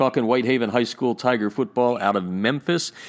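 The voice is an ordinary speaking voice at a fairly quick pace. The recording is very clean, with a silent background. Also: man. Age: 50s. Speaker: podcast host. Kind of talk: interview.

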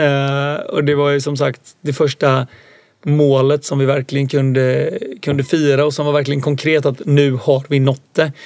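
Speaking at a moderate pace, a man has a fairly high pitch. His intonation is monotone and flat. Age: 20s. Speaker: entrepreneur. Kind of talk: interview. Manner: hesitant, many fillers.

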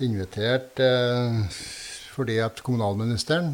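Speaking at a fairly slow pace, this man has a medium pitch and ordinary pitch variation. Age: 60s. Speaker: politician and former farmer. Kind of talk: interview. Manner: halting.

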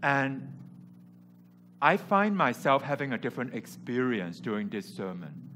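Vocal fry and a bright, sharp tone from a man at medium pitch, with very wide pitch swings, a fairly slow pace and long, frequent pauses, in a very clean recording with a silent background. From Hong Kong. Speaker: preacher. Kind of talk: sermon. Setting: church.

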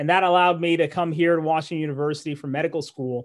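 A man speaks in an unremarkable speaking voice, fairly high in pitch, with fairly even intonation. The recording is very clean, with a silent background. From Malawi, moved to US as a young kid. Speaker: neurologist and medical professor. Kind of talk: podcast interview.

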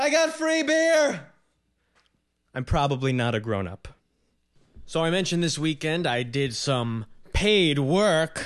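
Someone with an American accent speaks at a fairly slow pace with long, frequent pauses over a quiet background. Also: man. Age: 20s. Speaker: podcast host and comedian. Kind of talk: casual interview with intro. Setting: home apartment recording. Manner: halting, self-conscious, filler words.

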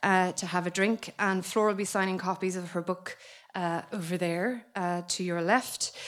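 A woman with an Irish accent at a moderate pace, on a very clean recording with a silent background. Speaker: book editor. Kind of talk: event MC. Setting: stage with audience.

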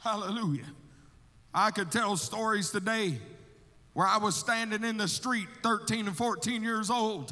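In an Alabama accent, a man talks in a raised, projected voice with a high pitch, a bright, sharp tone, ordinary pitch variation, a fairly slow pace, and long, frequent pauses, with audible room echo. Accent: Southern US (Alabama). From US South, Alabama. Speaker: missionary. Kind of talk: sermon. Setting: church. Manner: animated.

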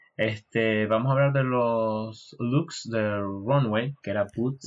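The speech moves at a very slow pace with hardly any pauses. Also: man. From Venezuela, Maracaibo. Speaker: podcast co-host. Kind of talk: casual chat.

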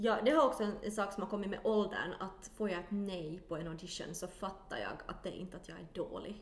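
A woman with a medium pitch talks at a fairly quick pace, with hardly any pauses and ordinary pitch variation. Her loudness swings widely, and noticeable background noise is present. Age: 30s. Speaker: actor and musical singer. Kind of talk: casual chat.

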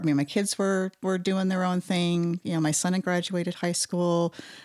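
A dry, close sound with no echo and an American accent, in a very clean recording with a silent background. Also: woman. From Utah. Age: 40s. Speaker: artist, illustrator and muralist. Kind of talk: interview conversation.

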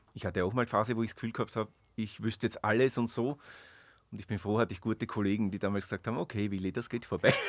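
A man speaks at a very fast pace with fairly low pitch. The recording is very clean with a silent background. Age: 50s. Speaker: witch, shop owner. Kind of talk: interview. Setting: studio.

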